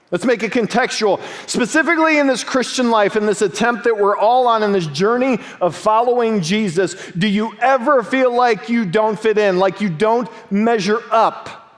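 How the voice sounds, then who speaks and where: Noticeable background noise accompanies a man speaking at a high pitch and moderate pace, with ordinary pitch variation and very even loudness. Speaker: pastor. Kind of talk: sermon preaching, storytelling.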